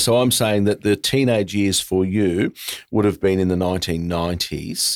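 This man has an Australian accent and a fairly low voice. He talks at a moderate pace with fairly even intonation and very even loudness. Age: 50s. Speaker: podcast host. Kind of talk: casual interview; scripted intro narration.

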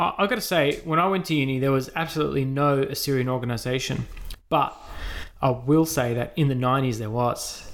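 Over noticeable background noise, a man with an Australian accent talks at a fairly quick pace in a fairly high pitch with ordinary pitch variation. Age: 30s. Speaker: podcast host. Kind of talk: casual interview; scripted intro and sponsor read.

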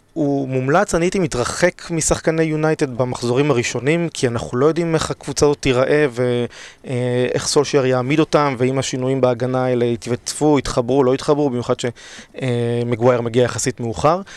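At a moderate pace and with hardly any pauses, a man speaks at medium pitch with ordinary pitch variation. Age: 30s. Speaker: fantasy league champion. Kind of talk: casual chat. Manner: hesitant with fillers.

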